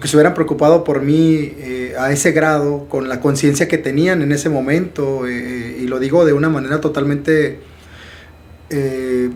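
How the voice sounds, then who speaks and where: A man's fairly high voice with audible room echo. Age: 30s. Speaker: podcast host and life coach. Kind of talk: interview conversation. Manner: animated.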